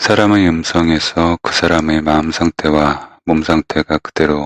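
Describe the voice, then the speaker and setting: A man speaks in a very deep, low voice, monotone and flat. His pace is fairly slow and his loudness very even. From Korea. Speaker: novelist. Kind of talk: personal essay reading.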